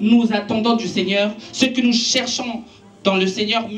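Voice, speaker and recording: Over noticeable background noise and audible room echo, a woman speaks at a fairly slow pace with fairly even intonation. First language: Italian (speaking French). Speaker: preacher. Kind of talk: sermon.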